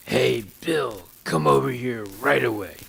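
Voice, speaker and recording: Put-on character voice from a man, raspy and fairly low-pitched, with very wide pitch swings and a fairly slow pace. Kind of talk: harsh, unaffectionate. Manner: ominous, curt, commanding.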